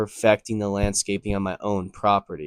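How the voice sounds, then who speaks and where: In a dry, close recording with no echo and a silent background, a man with an American accent speaks at a moderate pace in a fairly low pitch. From US Northeast, Connecticut. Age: 20s. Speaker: landscaping business owner. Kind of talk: casual vlog talk to camera. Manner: casual, many fillers.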